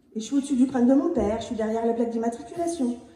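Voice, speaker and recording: High-pitched female speech with a slight Picard accent, audible room echo and noticeable background noise. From Picardy, northern France. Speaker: near-death experience witness. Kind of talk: testimony.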